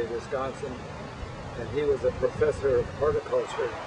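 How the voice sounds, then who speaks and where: A man is heard talking amid noticeable background noise. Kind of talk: interview answer, family history reminiscence. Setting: outdoors.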